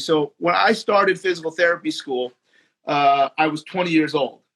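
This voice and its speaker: A loud man talks at a fairly quick pace with a high pitch and ordinary variation. The sound is dry and close, with no echo. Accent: American. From New Jersey, US. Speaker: physical therapist and trainer. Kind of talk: casual chat. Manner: halting, many repeated words.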